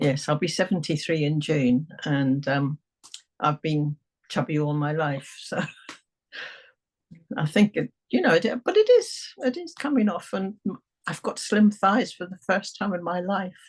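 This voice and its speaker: Speaking at a fairly slow pace with long, frequent pauses, a woman with a fairly low, somewhat breathy voice uses lively intonation in a dry, close sound with no echo. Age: 70s. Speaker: hypnotherapy client. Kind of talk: testimonial interview.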